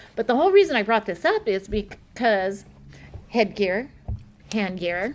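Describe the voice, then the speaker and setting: A woman with an unremarkable speaking voice, fairly high in pitch, talks at a moderate pace with lively intonation. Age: 60s. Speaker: martial arts grandmaster and fighter. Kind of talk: casual chat.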